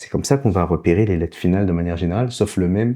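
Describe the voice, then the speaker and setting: A man talks over a quiet background. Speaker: language teacher. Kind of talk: tutorial. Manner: slow, didactic.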